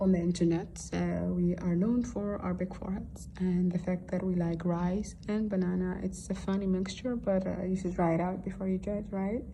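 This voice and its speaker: The speaker has a Somali accent. Audible room echo surrounds the voice. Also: woman. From Netherlands (arrived from Somalia at six). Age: 20s. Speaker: student teacher. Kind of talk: school assignment podcast monologue. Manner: hesitant, many fillers.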